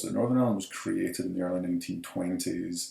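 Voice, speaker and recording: This is a man speaking in a Scottish accent. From Scotland, Edinburgh. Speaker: professor. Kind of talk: lecture.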